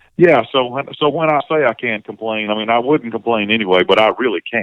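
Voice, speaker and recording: With a Southern US accent, a man speaks in a medium pitch. His pitch variation is ordinary. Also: fairly quick pace. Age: 60s. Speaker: singer-songwriter and session musician. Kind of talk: casual interview conversation. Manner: halting, many repeated words and fillers.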